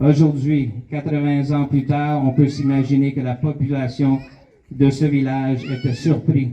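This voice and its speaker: A man with a Canadian French accent speaks at a fairly slow pace in a fairly high pitch, his intonation flat and monotone. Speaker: Canadian official representative. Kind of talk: commemorative speech.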